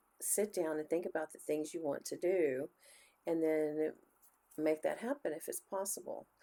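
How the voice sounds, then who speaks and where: With a Texan accent, a woman speaks at a fairly slow pace. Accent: Texan US Southern. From Texas. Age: 60s. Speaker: book reviewer and teacher. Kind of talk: channel intro vlog. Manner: casual, with frequent fillers.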